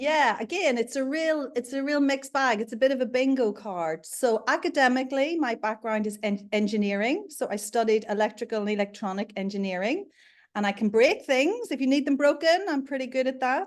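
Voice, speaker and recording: The speech is fairly quick and lively in intonation, with hardly any pauses, in a Northern Irish accent. The background is quiet. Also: woman, high pitch for a woman. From Northern Ireland, Belfast. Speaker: leadership consultant and coach. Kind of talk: interview.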